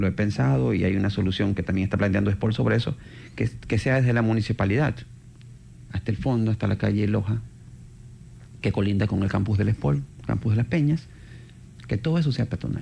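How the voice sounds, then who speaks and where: Dark and mellow in tone, a man's fairly low voice with vocal fry carries lively intonation and long, frequent pauses. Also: fairly quick pace, very even loudness. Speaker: urban mobility expert. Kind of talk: radio interview.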